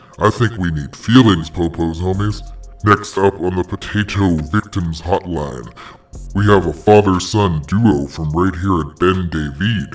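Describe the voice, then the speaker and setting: Faint music plays in the background. A man puts on a character voice with a very deep, low pitch. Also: moderate pace. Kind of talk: comedy parody hotline host. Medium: role play. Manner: exaggerated, slangy.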